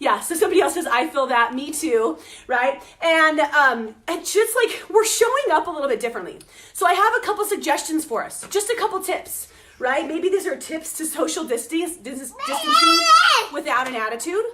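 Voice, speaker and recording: A woman with an extremely high pitch speaks in a raised, projected voice that is bright and sharp, with very wide pitch swings. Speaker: morning motivation vlogger. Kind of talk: casual livestream chat. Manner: fast; casual, filler-heavy.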